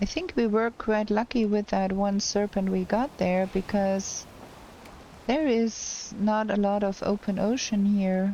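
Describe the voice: A woman speaks fairly slowly with fairly even intonation, her voice at a medium pitch and dark, mellow in tone.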